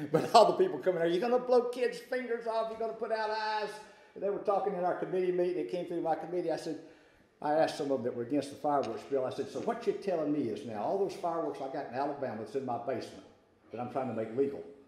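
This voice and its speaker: A man with a Southern US accent, high-pitched with very wide pitch swings at a very fast pace, amid noticeable background noise and audible room echo. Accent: Southern US (Georgia). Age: 60s. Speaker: state legislator. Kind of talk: luncheon talk. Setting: business luncheon with audience. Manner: casual, hesitant with fillers.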